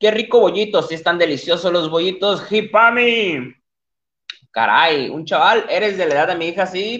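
At a moderate pace, a man speaks in a high, animated tone with lively intonation. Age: 20s. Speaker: livestream podcast host. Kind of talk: casual livestream chat. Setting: live stream at computer.

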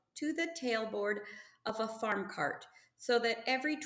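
What we hear is plain reading aloud.

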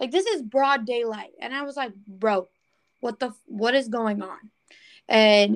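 The background stays quiet while a woman talks. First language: not English. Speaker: podcast host and military veteran. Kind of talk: casual interview chat.

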